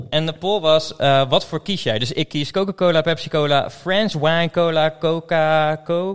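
With an ordinary speaking voice, a man talks at a moderate pace in a fairly high pitch, with ordinary pitch variation, big swings in loudness and hardly any pauses. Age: 30s. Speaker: podcast host. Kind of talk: casual chat.

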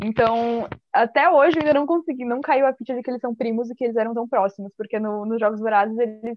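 A woman rattles along at a very fast pace with hardly any pauses, her fairly high voice showing ordinary pitch variation. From Santa Catarina, southern Brazil. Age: 20s. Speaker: podcast guest. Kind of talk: casual chat. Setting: video call.

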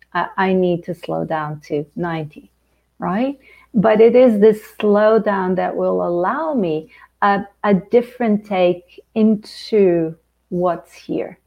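With a Portuguese accent, a woman talks at a very slow pace, her medium pitch showing ordinary variation. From Angola. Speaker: life coach and author. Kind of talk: casual interview.

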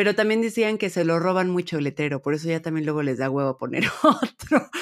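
An unremarkable speaking voice from a woman at a fairly low pitch and fairly quick pace, with ordinary pitch variation, in a very clean recording with a silent background. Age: 30s. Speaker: podcast co-host. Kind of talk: casual chat.

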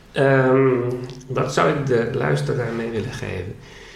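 The speech moves at a fairly slow pace. Room echo is audible and background noise is noticeable. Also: man. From Netherlands, Groningen area. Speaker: flamenco guitarist and educational content developer. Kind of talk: interview, personal story. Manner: halting, many filler sounds.

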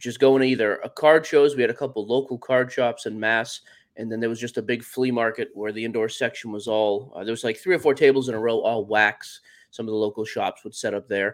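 On a very clean recording with a silent background, a man uses a normal speaking voice at a medium pitch, a fairly quick pace and fairly even intonation. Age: 30s. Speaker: sports card podcaster. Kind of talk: casual interview.

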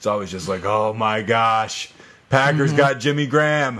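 With an American accent, a man talks at a fairly quick pace in a normal speaking voice of medium pitch. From US South, eastern shore of Virginia. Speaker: fantasy football podcast host. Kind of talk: casual chat.

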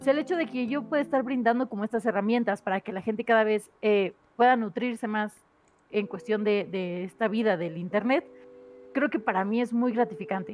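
This is a plain, everyday voice with ordinary pitch variation. It moves at a fairly quick pace. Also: woman, fairly high pitch for a woman. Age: 30s. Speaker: content creator. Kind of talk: casual chat.

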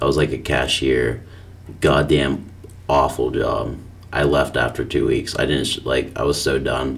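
A man mumbles at a fairly slow pace over noticeable background noise. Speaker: podcast co-host. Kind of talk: casual chat. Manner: mumbling.

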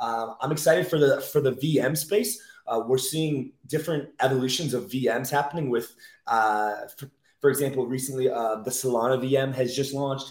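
Ordinary pitch variation from a man at medium pitch, at a moderate pace. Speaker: crypto investor and podcast guest. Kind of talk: casual interview. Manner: animated.

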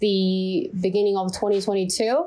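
A woman speaks at a medium pitch with a dark, mellow tone. The recording is very clean, with a silent background. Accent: Chinese. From China. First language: Chinese. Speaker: listener guest. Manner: halting.

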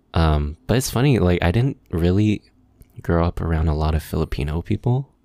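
In a Californian accent, a man with a very deep, low pitch and a dark, mellow tone speaks at a moderate pace with lively intonation and very even loudness, the sound dry and close with no echo. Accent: Californian American English. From Los Angeles, San Gabriel Valley. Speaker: musician and video maker. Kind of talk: casual chat. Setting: video call.

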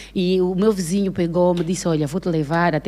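In a normal speaking voice, a woman speaks at a fairly quick pace with a fairly low pitch. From Angola, Benguela province. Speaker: actress and comedian. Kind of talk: casual chat.

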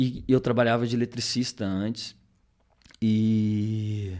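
Monotone, flat intonation from a man, fairly low in pitch. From southern Minas Gerais, Brazil (rural). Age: 30s. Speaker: entrepreneur, accident survivor. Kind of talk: casual interview chat. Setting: studio, livestreamed podcast.

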